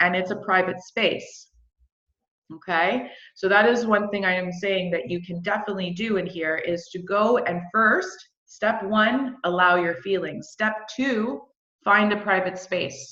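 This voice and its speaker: With audible room echo, a woman's bright, sharp voice at a medium pitch moves at a fairly slow pace with ordinary pitch variation. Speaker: emotional healing coach. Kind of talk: live online course teaching. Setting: livestream. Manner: animated.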